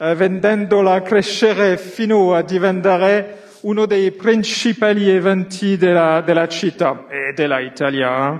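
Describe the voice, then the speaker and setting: Noticeable background noise sits behind a man speaking at a fairly slow pace in a high voice with ordinary pitch variation. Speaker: company executive. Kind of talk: prepared speech from notes. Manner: halting, many fillers.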